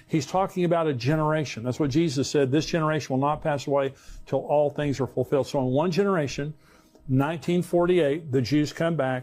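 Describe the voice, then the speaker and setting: This man talks at a fairly quick pace in an unremarkable speaking voice, fairly high in pitch, with ordinary pitch variation. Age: 60s. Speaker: pastor. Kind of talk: sermon.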